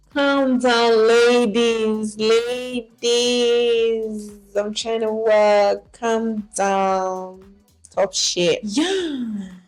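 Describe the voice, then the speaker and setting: Very slow speech from a woman with a fairly high pitch and ordinary pitch variation, music in the background. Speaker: vlogger and documentary filmmaker. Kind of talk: casual vlog talk to camera. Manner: stammers sometimes.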